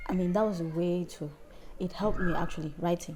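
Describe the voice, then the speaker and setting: A woman with a fairly low voice talks at a moderate pace. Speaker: singer. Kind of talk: interview.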